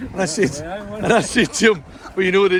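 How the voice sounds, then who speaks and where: A man speaks with a west of Scotland accent. There is noticeable background noise. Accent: Scottish (west of Scotland). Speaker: travel vlogger. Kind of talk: casual chat. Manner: animated.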